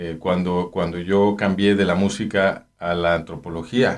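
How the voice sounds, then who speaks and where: A flat monotone delivery in a Mexican accent at a very slow pace, on a very clean recording with a silent background. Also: man. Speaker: anthropologist. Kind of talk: interview. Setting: studio. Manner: halting.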